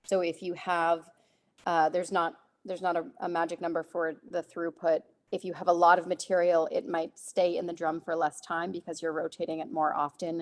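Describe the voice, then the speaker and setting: Speaking with an ordinary speaking voice, the woman keeps a fairly low pitch, fairly even intonation and a moderate pace. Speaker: compost nonprofit presenter. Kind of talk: webinar Q&A.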